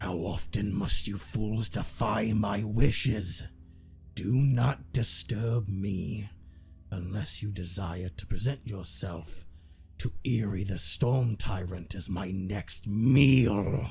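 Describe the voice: A man puts on a guttural character voice with a fairly low pitch. He speaks at a very slow pace over clear background noise.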